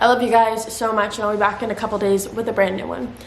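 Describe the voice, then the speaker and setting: A woman talks at a very fast pace. Audible room echo and noticeable background noise accompany her. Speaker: true crime youtuber. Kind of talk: scripted narration. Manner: animated.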